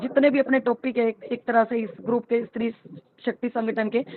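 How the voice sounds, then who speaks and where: With a fairly high pitch, a woman keeps her speech at a moderate pace. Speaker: panel participant in women's group discussion. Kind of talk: online group discussion. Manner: animated.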